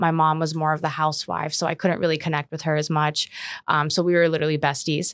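Speaking at a very fast pace with an American accent, a woman uses a very deep, low pitch and a monotone, flat intonation. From Omaha, Nebraska, US. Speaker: commercial real estate advisor. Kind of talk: casual interview.

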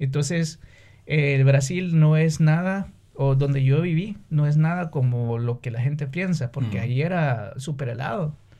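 Somewhat breathy and fairly high in pitch, a man speaks at a fairly slow pace with a dark, mellow tone. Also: ordinary pitch variation. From Honduras, San Pedro Sula. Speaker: businessman and musician. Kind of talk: casual interview.

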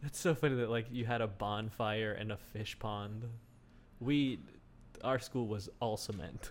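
A plain, everyday voice from a man with an American accent, medium in pitch, with ordinary pitch variation and a fairly slow pace. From United States. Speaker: comedy podcast host. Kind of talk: casual chat.

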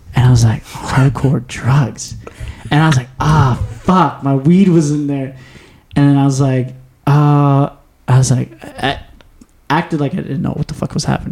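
A man with a fairly high pitch speaks at a moderate pace, his voice somewhat breathy. His intonation is fairly even, broken by long, frequent pauses. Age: 20s. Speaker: podcast host. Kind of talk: casual chat. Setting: studio.

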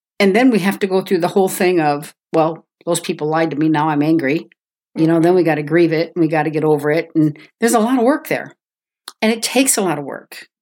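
Talking at a very fast pace, a woman with a fairly low pitch uses ordinary pitch variation. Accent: American. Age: 60s. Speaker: guest sharing faith testimony. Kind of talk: testimony.

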